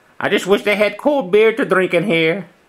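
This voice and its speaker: A female-sounding put-on character voice sits at a middle pitch. It moves at a moderate pace. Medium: solo performance. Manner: laid-back, rambling.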